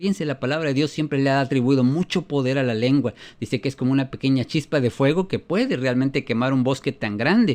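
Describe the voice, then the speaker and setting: A man with a fairly high voice talks at a very fast clip, barely pausing, with ordinary pitch variation against a quiet background. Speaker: preacher. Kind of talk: sermon.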